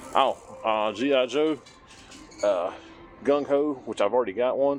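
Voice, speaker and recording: With music playing in the background, a man speaks at a fairly slow pace and ordinary pitch variation. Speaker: toy collector vlogger. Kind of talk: casual walk-and-talk vlog. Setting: in a store.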